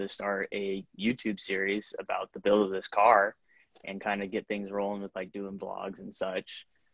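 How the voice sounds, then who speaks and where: At a moderate pace, a man with an unremarkable speaking voice talks at a fairly low pitch with an American accent. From Washington State, US. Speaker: drift racing driver. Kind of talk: casual interview. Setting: video call from his shop.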